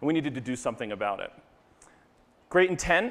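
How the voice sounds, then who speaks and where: A man talks at a very fast pace. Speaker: presenter. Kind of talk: conference talk. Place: stage. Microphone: lapel.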